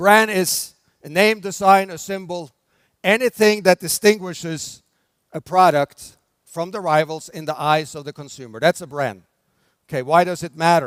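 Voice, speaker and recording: In a very clean recording with a silent background and a dry, close sound with no echo, a man with a Norwegian accent speaks at a high pitch, with ordinary pitch variation and big swings in loudness. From Norway. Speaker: brand development expert, conference speaker. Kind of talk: conference keynote talk. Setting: stage with audience. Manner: slow, deliberate pace.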